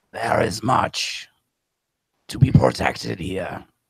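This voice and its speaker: A man uses a put-on character voice, very deep and low in pitch. It sounds gravelly and raspy at a fairly slow pace. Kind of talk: elemental monster voice. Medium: actual play. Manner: slow, solemn, formal.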